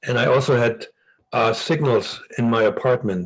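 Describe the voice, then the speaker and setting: A man talks in a German accent, his voice somewhat breathy. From East Germany. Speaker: former spy. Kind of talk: interview. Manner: halting with frequent repetitions.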